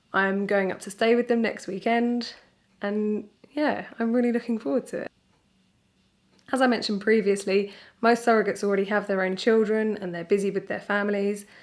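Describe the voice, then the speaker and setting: At a fairly quick pace, a woman speaks with a British accent. Her pitch is medium and her intonation fairly even. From Britain. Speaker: surrogate mother. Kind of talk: casual talk to camera.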